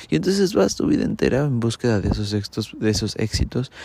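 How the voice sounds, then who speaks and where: A man with a Mexican accent talks at a moderate pace in a dark, mellow, somewhat breathy tone. The recording is very clean, with a silent background. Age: 30s. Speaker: podcaster. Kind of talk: casual monologue.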